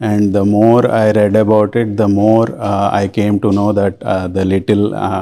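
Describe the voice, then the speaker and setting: A man with a Telugu accent speaks in a dark, mellow tone at a fairly low pitch. His intonation is monotone and flat, his loudness very even, with hardly any pauses. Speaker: volunteer Sanskrit and scripture teacher. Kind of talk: interview. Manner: halting, many fillers.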